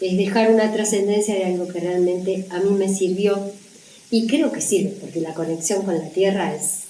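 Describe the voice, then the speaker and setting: Audible room echo and noticeable background noise surround a woman speaking at a moderate pace with a medium pitch. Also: fairly even intonation. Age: 60s. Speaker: natural cooking teacher and author. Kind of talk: interview about her book.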